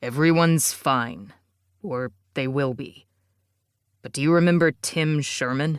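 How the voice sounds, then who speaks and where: A man puts on a character voice at a moderate pace, pitched fairly high. He leaves long, frequent pauses, and the recording is very clean with a silent background. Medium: read story. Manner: firm, insistent.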